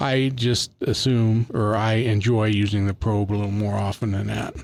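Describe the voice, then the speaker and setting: A man talks in an American accent, his medium-pitched voice flat and monotone. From Northern California, Colusa County. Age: 60s. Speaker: master gardener. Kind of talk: casual chat.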